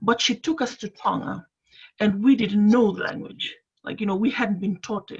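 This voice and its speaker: Delivered at a moderate pace with ordinary pitch variation, this voice has vocal fry and a Fijian accent. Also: woman. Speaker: panellist. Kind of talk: panel discussion on video call. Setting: video call. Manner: halting, many fillers.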